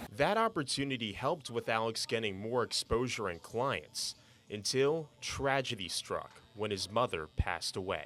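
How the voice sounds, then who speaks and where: Over music in the background, a man speaks at medium pitch with lively intonation. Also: moderate pace. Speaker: TV sports reporter and anchor. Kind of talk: feature story voiceover narration.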